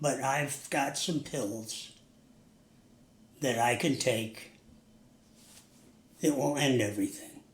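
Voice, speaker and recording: Speaking very slowly with long, frequent pauses, a man with an American accent has a fairly high pitch and ordinary pitch variation, and audible room echo surrounds him. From US Northeast. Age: 80s+. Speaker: recovering alcoholic, interview guest. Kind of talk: interview. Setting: sit-down interview.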